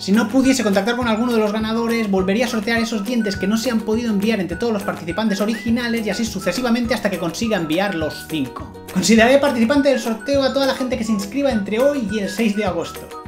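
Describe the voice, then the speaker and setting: Over clear music in the background, a man talks at a very fast pace with a high pitch, ordinary pitch variation and hardly any pauses. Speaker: vlogger. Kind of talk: casual talk to camera. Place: home room.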